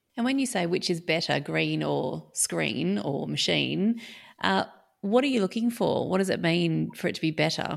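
Moderate pace from a woman with an Australian accent, the recording very clean and the background silent. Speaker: podcast host and academic. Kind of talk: interview conversation.

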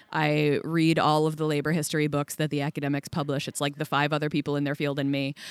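A woman with an American accent and a very deep, low pitch, in monotone, flat intonation at a very fast pace with hardly any pauses, dry and close with no echo on a very clean recording with a silent background. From United States. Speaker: journalist. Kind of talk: casual interview. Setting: festival venue.

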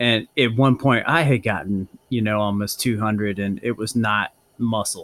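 Here is an ordinary speaking voice at a moderate pace. The intonation is fairly even. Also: man, fairly low pitch for a man. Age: 40s. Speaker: podcast host and cycling coach. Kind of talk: interview.

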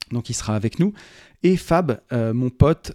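The very clean recording, silent in the background, captures a man with a dark, mellow tone and medium pitch at a fairly slow pace. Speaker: podcast host and property investor. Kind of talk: solo podcast monologue. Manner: pauses to breathe.

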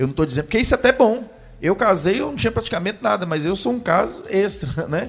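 A man speaks very fast in a high voice. His pitch swings very widely. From Brazil, Jequitinhonha Valley (Minas Gerais). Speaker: pastor. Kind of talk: casual chat.

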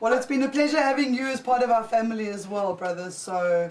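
A woman speaks in an unremarkable speaking voice. Her pace is fairly quick. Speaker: cannabis show co-host. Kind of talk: casual live show chat. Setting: studio.

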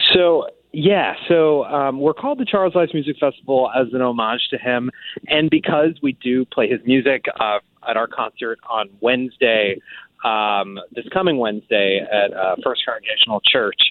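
A man speaks at a moderate pace and medium pitch with lively intonation. His is an unremarkable speaking voice. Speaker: composer and festival director. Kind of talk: radio interview. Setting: phone call.

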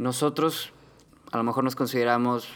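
A man uses a plain, everyday voice with fairly even intonation. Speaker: podcast co-host. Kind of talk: casual discussion.

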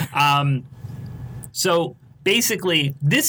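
An animated man with an American accent speaks in a bright, sharp tone at a fairly high pitch. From Philadelphia. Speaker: podcast host. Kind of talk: casual chat. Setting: studio.

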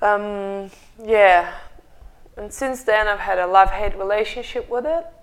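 A woman speaks at a fairly slow pace with a medium pitch and ordinary pitch variation. She leaves long, frequent pauses. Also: big swings in loudness. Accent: Russian. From Russia. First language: Russian. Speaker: meditation studio co-founder. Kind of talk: casual chat. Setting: studio. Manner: passionate.

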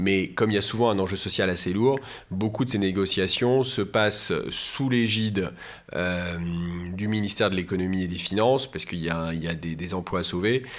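A man talks at a moderate pace with fairly low pitch. His pitch moves in an ordinary way. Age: 40s. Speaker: business lawyer. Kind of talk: interview. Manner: halting, frequent repetitions.

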